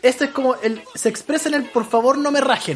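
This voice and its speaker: The speaker has a Chilean accent. Background noise is noticeable. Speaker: podcast co-host. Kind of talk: casual chat.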